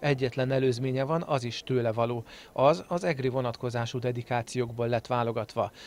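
A man with a plain, everyday voice talks at a medium pitch and a moderate pace, his intonation fairly even. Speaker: local TV culture show presenter. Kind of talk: TV magazine narration. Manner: formal.

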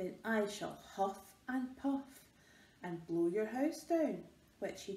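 The intonation rises and falls in a lively way. The speaker is reading aloud in a natural voice.

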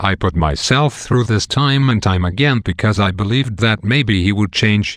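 The speaker is reading aloud. The delivery is plain.

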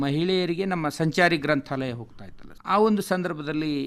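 Speaking in a plain, everyday voice, a man shows ordinary pitch variation. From north Karnataka, India (Bidar district, Basavakalyan taluk village). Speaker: government library official. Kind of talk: radio interview.

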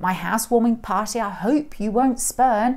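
Over a quiet background, a woman speaks at a moderate pace with a fairly high pitch. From England. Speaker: school head of English teacher. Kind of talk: poetry reading. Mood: expressive, playful storytelling. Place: classroom.

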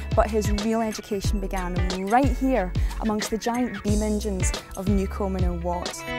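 Against clear music in the background, a woman talks at a fairly quick pace in a dry sound with no echo. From Scotland. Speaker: TV presenter. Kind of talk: history documentary presenting. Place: open country. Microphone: lapel.

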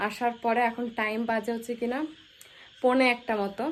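This woman speaks in a monotone with flat intonation, captured in a very clean recording against a silent background. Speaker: vlogger. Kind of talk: vlog. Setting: crowded temple.

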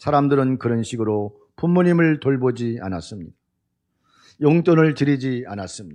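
Lively intonation runs through a man's medium-pitched voice. The background stays quiet. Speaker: pastor. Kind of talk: sermon.

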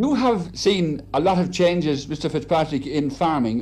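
A man speaks at a moderate pace with vocal fry, a dark, mellow tone and lively intonation. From Ireland. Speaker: reporter. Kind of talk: broadcast interview questions. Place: home room. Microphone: old recording.

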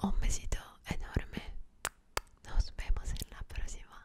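The woman speaks in a whisper. Her pace is fairly slow. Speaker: ASMR creator. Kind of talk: soft whispered ASMR chat. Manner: soft intimate farewell. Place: home room. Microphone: studio mic.

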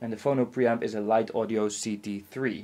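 Here a man speaks with a dark, mellow tone. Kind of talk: casual explanatory demo talk. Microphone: camera far.

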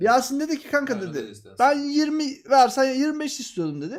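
The recording is very clean, and its background is silent. On it, a man talks with lively intonation. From Turkey, Mediterranean region. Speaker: game streamer. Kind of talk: casual chat.

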